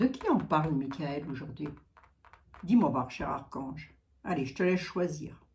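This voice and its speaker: Heard with audible room echo, a woman with a very deep, low pitch speaks at a fairly slow pace, with ordinary pitch variation and big swings in loudness. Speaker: psychic / clairvoyant. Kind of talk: casual chat, psychic channeling livestream. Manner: chatty, many fillers.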